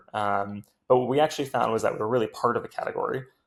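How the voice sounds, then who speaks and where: This man talks with an American accent. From US West Coast, Silicon Valley. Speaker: tech startup founder and CEO. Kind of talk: podcast interview. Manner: hesitant, many filler words.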